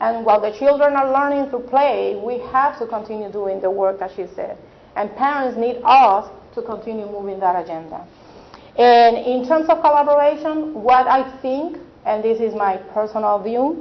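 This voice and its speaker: Someone with a non-native accent speaks at a moderate pace with lively intonation. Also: woman, fairly high pitch for a woman. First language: not English. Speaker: early childhood advocate. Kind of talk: panel discussion.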